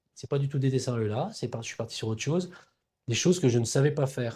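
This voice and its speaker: A man talks at a very fast pace and medium pitch with ordinary pitch variation. His tone is dark, mellow and somewhat breathy, over a quiet background. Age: 60s. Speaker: cartoonist and brand founder. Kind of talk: interview conversation. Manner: hesitant, many fillers and repetitions.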